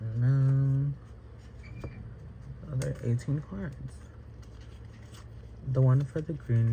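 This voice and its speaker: Long, frequent pauses break up a man's speech, which moves at a very slow pace. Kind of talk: casual vlog talk to camera. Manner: rambling, hesitant.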